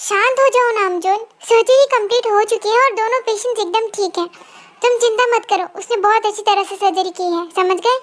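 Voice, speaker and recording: A woman's put-on character voice, extremely high-pitched, at a fairly quick pace. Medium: audio drama. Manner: hesitant, earnest.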